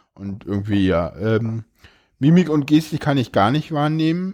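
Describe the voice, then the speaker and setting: Fairly high in pitch yet dark and mellow in tone, a man speaks at a fairly slow pace. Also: very clean recording, silent background. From Berlin. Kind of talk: casual interview chat.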